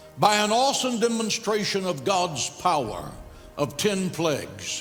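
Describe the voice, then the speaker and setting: A man speaks fairly slowly, accompanied by music in the background. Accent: American. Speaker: pastor preaching a sermon. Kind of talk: sermon.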